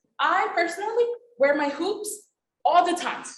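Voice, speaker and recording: Audible room echo surrounds a woman who speaks fairly slowly, her pitch swinging very widely. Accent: Spanish. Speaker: attorney and panelist. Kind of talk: panel discussion.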